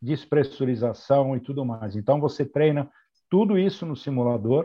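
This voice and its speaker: At a fairly slow pace, a man talks in a plain, everyday voice of medium pitch. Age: 60s. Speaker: airline pilot and flight training coordinator. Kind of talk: interview.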